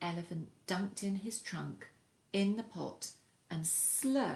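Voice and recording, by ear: Someone reads aloud in a natural voice, and the pitch moves in an ordinary way.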